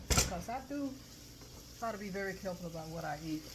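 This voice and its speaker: A woman's fairly low voice in a relaxed tone at a moderate pace, with audible room echo and noticeable background noise. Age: 80s+. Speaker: cooking channel host. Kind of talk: casual cooking tutorial. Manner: relaxed, with fillers.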